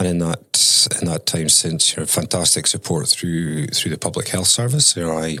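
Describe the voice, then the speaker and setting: The speaker talks at a moderate pace in a Scottish accent. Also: man. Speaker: mental health consultant. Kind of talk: interview.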